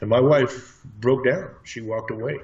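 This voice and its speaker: A man speaks at a moderate pace. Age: 60s. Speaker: martial arts trainer and alleged space program veteran. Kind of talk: interview testimony. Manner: halting.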